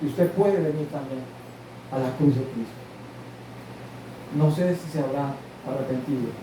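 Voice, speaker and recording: A man with a fairly high pitch and ordinary pitch variation talks at a fairly slow pace, with noticeable background noise and audible room echo. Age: 60s. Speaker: pastor. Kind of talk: sermon.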